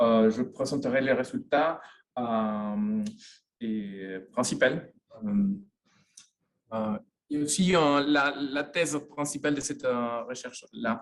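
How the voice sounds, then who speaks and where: At a very slow pace, a man with a Spanish accent speaks at medium pitch with lively intonation, leaving long, frequent pauses. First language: Spanish (speaking French). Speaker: sociologist, university professor. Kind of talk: lecture. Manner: halting, many hesitations.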